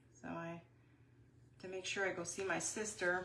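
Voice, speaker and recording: With an American accent, a woman speaks at medium pitch and a moderate pace, with audible room echo. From Wisconsin. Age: 60s. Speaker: craft YouTuber. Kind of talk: live craft tutorial. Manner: casual, chatty.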